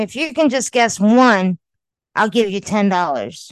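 A woman with a normal speaking voice talks at a fairly slow pace, her pitch fairly high and her intonation lively. The background is quiet. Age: 50s. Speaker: podcast co-host. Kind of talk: casual chat. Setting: recording remotely from her home.

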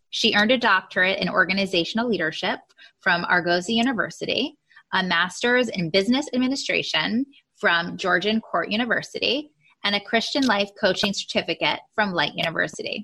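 A woman's ordinary speaking voice, medium in pitch. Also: ordinary pitch variation, fairly quick pace. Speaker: podcast host. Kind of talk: interview conversation.

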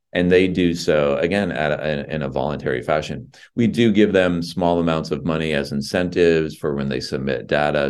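With vocal fry and a very deep, low pitch, a man talks at a fairly quick pace with ordinary pitch variation. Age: 50s. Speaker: nonprofit founder and CEO. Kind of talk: interview.

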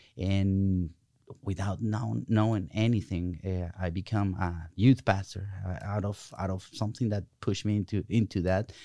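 With a Spanish accent, a man speaks in a dark, mellow tone at a fairly low pitch with fairly even intonation against a quiet background. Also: moderate pace. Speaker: pastor. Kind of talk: faith-based interview conversation. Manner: halting; passionate.

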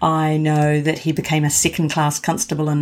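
A woman with a New Zealand accent and a very deep, low pitch. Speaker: professional genealogist. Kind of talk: interview.

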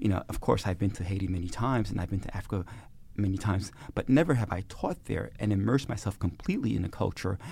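A man talks with an American accent and a fairly low pitch. His voice is somewhat breathy, with fairly even intonation. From Brooklyn, New York. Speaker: sociology professor. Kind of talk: interview. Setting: studio.

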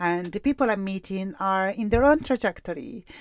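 Someone with an Italian accent speaks on a very clean recording with a silent background. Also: woman. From Italy. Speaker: counsellor and podcast host. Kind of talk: solo podcast monologue. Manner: hesitant, frequent fillers.

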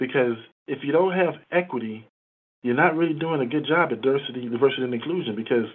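A man with a fairly high voice rattles along at a very fast pace, his pitch varying in an ordinary way. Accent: American. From Chicago, US. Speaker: credit union executive. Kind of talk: interview.

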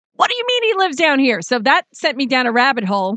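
A woman with an American accent speaks in a raised, projected voice, her high pitch carrying a bright, sharp tone over a quiet background. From New York. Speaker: radio talk show host. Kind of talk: radio interview. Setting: radio studio.

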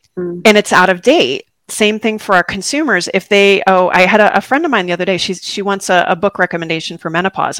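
At a very fast pace, a woman with an American accent speaks at a medium pitch, the sound dry and close with no echo on a very clean recording with a silent background. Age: 40s. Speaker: physical therapist podcast host. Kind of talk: casual interview chat.

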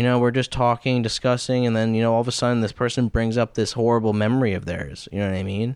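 The man talks very fast while the background remains quiet. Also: dry, close sound with no echo. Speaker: mental health counselor. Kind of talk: casual chat. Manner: soft-spoken.

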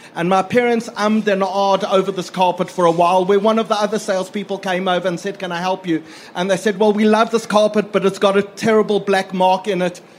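A man's voice, high for a man, flat and monotone at a very fast pace, with noticeable background noise. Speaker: audience member asking a question. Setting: live event with audience.

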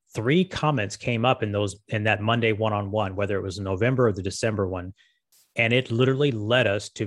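A man with a General American accent, fairly low-pitched and somewhat breathy, fairly quick, with ordinary pitch variation against a quiet background. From Las Vegas, Nevada. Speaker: marketing agency co-founder. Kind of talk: interview. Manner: halting.

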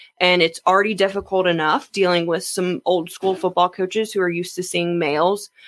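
A woman with an unremarkable speaking voice and an American accent talks at a medium pitch with fairly even intonation. Her pace is fairly quick, with hardly any pauses. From Jacksonville, Florida. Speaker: athletic trainer. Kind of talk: interview.

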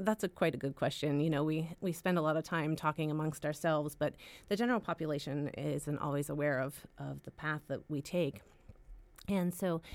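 A woman with an American accent, very deep and low in pitch, talking fairly quickly with ordinary pitch variation. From central Pennsylvania. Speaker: family physician and residency director. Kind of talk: interview.

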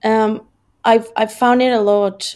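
A woman speaks fairly slowly in a Spanish accent with monotone, flat intonation. The recording is very clean, with a silent background. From Mexico. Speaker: content marketing manager. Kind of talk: interview.

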